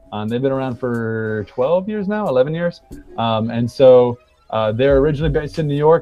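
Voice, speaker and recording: A man at a very fast pace over music in the background. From South Africa. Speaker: saxophonist and band leader. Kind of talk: casual chat. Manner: halting.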